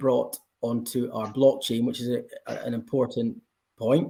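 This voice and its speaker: A man at medium pitch with a Scottish accent, fairly slow and fairly even in intonation. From Scotland. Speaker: blockchain company representative. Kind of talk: panel discussion.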